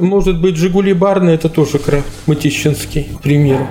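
A man talks with a fairly high pitch as noticeable background noise runs behind him. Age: 60s. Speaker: brewery technologist. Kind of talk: interview. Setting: brewery office.

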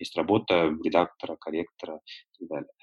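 The dry, close, echo-free voice of a man against a quiet background. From North Caucasus (Nalchik), then Moscow from age 14. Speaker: publisher and triathlon coach. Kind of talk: interview.

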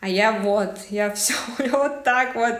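Noticeable background noise and audible room echo surround a woman whose voice sits fairly high. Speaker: young mother, aspiring entrepreneur. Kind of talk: personal testimony in coaching chat. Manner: loud, abrupt.

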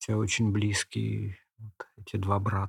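Over a silent background in a very clean recording, a man speaks at a fairly slow pace in a somewhat breathy voice. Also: dry, close sound with no echo. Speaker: poet and literary historian. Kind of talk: interview.

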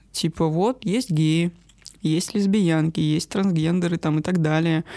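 In an ordinary speaking voice, a woman talks at a fairly slow pace and fairly low pitch, the sound dry and close with no echo. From northern Russia, rural village. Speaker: guest sharing personal abuse story. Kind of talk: personal testimony.

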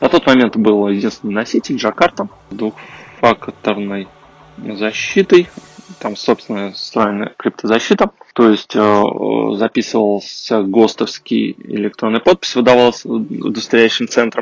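Fairly slow speech with ordinary pitch variation, the sound dry and close with no echo. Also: man, medium pitch for a man. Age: 30s. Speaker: podcast host, IT engineer. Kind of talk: solo podcast monologue. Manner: halting, with filler sounds.

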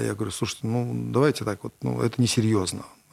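A man with a fairly low pitch talks at a fairly quick pace, his pitch swinging very widely. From Russia, Kovrov. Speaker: entrepreneur. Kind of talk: interview.

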